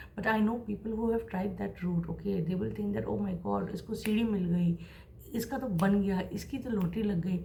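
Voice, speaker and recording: A woman at a moderate pace amid audible room echo. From India, Mumbai. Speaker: creative professional and vlogger. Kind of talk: motivational advice monologue.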